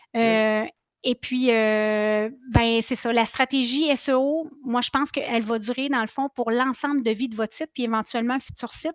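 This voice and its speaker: In a dry, close sound with no echo and a quiet background, a woman with a Quebec accent talks at a high pitch with fairly even intonation. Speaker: marketing consultant, speaker. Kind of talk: Q&A answers; webinar presentation. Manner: fast; hesitant fillers (euh).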